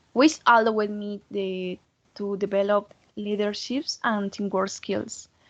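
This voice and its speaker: A woman with a Colombian accent speaks at a fairly slow pace and medium pitch, her intonation fairly even but her loudness swinging widely. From Colombia, Santander. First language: Spanish. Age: 20s. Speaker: foreign language student. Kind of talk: mock job interview. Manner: halting.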